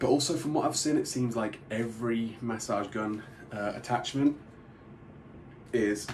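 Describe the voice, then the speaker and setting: At a moderate pace, a man with a British accent and a medium pitch speaks with fairly even intonation and long, frequent pauses. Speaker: product reviewer. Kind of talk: product review tutorial.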